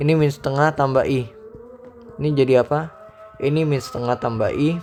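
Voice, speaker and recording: Music plays in the background behind a man. His voice sits fairly high, with fairly even intonation. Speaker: math tutor. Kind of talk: tutorial. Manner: casual; loud.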